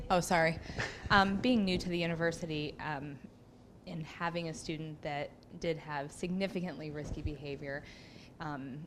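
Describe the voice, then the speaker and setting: A woman's very deep, low voice with fairly even intonation at a moderate pace, in audible room echo. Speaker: new faculty member, emergency room worker. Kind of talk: audience question at workshop. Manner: loud.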